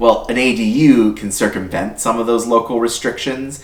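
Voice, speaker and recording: There is audible room echo around a man's voice. He speaks at a moderate pace with ordinary pitch variation. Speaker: YouTube channel host, housing consultant. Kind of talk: explainer video. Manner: loud; casual, conversational.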